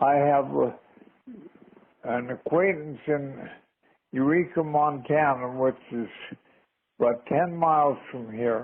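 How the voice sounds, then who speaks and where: A man at a very slow pace, with long, frequent pauses and ordinary pitch variation. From Canada. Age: 80s+. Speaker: rancher. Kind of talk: phone message. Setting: phone line.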